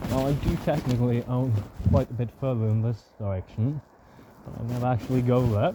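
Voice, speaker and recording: A man mumbles at a medium pitch and a fairly quick pace. His intonation is fairly even, over noticeable background noise. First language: not English. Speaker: vlogger living off-grid in the woods. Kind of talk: casual vlog narration while walking. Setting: outdoors in the woods. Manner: mumbling; hesitant, many filler sounds.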